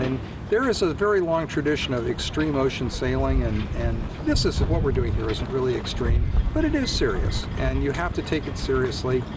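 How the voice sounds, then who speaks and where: There is noticeable background noise and audible room echo. A man talks at a fairly quick pace. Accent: American. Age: 60s. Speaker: sailor. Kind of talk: interview.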